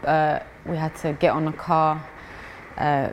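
With a London accent, a woman speaks at a very deep, low pitch. Background noise is noticeable. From East London, England. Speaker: amateur boxer. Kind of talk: interview. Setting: boxing gym.

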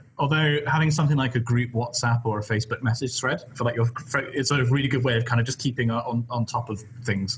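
A man's somewhat breathy voice at a medium pitch, very fast, with fairly even intonation. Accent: southwest English. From West Country, England. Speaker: PhD student and YouTuber. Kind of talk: casual chat in live Q&A stream. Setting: live stream video call.

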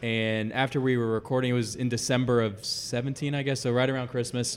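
In an unremarkable speaking voice, a man with an American accent talks at a fairly quick pace, medium pitch and fairly even intonation. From Dallas, Texas. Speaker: fan podcaster. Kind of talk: interview.

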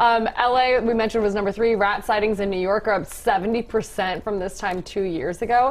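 Using hardly any pauses, a woman with a plain, everyday voice and fairly high pitch speaks at a moderate pace with fairly even intonation. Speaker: TV news show host. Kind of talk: casual banter on a live TV news show. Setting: TV studio. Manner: joking, playful.

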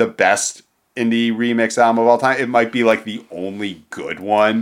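A man speaks in a plain, everyday voice with an American accent, at medium pitch and a moderate pace. The recording is very clean, with a silent background. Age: 40s. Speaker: music podcast co-host. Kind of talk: casual chat.

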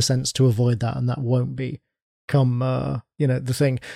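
A man with a British accent, medium pitch and a dark, mellow tone, at a fairly slow pace. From United Kingdom. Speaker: podcast panelist. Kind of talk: casual chat.

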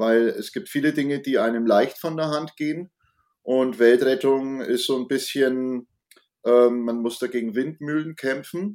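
A man talks in a normal speaking voice at a medium pitch. His pitch variation is ordinary and his pace fairly slow. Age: 50s. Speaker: climate activist and designer. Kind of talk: casual interview. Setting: video call.

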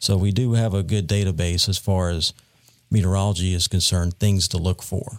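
On a very clean recording with a silent background and a dry, close sound with no echo, a man with a Southern US accent speaks at a fairly quick pace in a very deep, low pitch, with fairly even intonation and very even loudness. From North Carolina Piedmont. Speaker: meteorologist. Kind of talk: interview.

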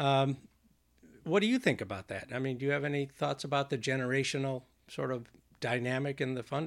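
This is a normal speaking voice moving at a fairly quick pace with fairly even intonation. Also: man. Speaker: podcast host. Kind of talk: casual interview chat.

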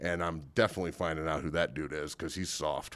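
A man with an American accent speaks on a very clean recording with a silent background. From Santa Cruz, California. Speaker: former college football player. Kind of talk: pep talk. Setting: studio. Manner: fired-up, emphatic, rallying.

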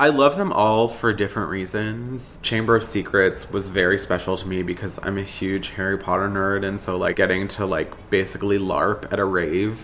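Noticeable background noise runs under this recording. A man speaks at a fairly low pitch and a moderate pace. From South Florida (Boca Raton). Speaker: queer nightlife party organizer. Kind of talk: documentary interview.

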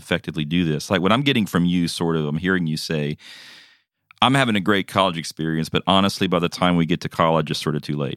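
A man speaks very fast in a very deep, low voice, recorded dry and close with no echo, on a very clean recording with a silent background. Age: 40s. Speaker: podcast co-host. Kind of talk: casual chat.

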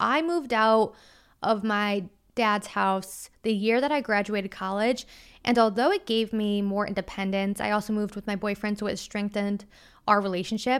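A woman with an unremarkable speaking voice, medium in pitch, with ordinary pitch variation and a moderate pace. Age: 20s. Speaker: solo podcast host. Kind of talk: casual monologue. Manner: conversational.

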